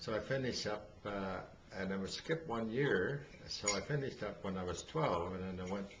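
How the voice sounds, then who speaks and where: With an Ontario accent, a man talks at a moderate pace in a fairly low pitch and lively intonation, with audible room echo and noticeable background noise. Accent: Canadian (Ontario). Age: 80s+. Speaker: elderly father telling life story. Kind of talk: oral history interview. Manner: halting, many fillers.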